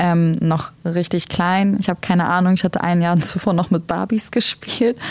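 Against noticeable background noise, a woman with a fairly low pitch speaks at a fairly slow pace with fairly even intonation. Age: 20s. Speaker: single mother sharing experience of domestic violence. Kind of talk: personal testimony in podcast conversation.

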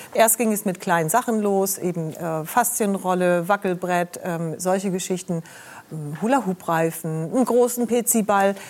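At a fairly slow pace, a woman with a normal speaking voice talks at medium pitch with ordinary pitch variation. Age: 60s. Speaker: TV health show presenter. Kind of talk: talk show conversation.

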